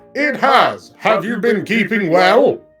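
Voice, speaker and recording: A man puts on a robotic character voice, pitched high, speaking at a fairly slow pace with faint music in the background. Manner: polite, courteous.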